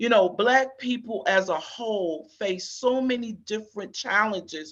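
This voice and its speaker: At a fairly slow pace, a woman talks with a fairly high pitch and ordinary pitch variation. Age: 60s. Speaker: HIV community advocate, panelist. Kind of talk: town hall panel discussion. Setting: panel at a conference town hall. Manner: halting, many fillers.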